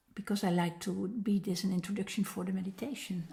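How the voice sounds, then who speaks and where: The voice is somewhat breathy, with ordinary pitch variation. It carries a Dutch accent. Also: woman. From Netherlands. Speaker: meditation teacher. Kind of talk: personal introduction talk. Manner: halting, many fillers.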